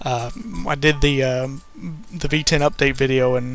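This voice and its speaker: With music in the background, a man talks at a fairly high pitch. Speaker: let's play youtuber. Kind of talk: gameplay commentary. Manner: halting.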